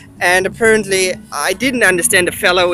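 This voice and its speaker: Over noticeable background noise, a man with a German accent talks at a fairly quick pace in a high pitch with fairly even intonation. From East Germany. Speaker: travel vlogger and researcher. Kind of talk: travel vlog. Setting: outdoors in city.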